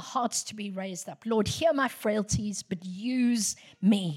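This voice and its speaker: A woman speaks at a very slow pace in a fairly high, somewhat breathy voice with ordinary pitch variation. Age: 60s. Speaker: guest preacher. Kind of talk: sermon. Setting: church.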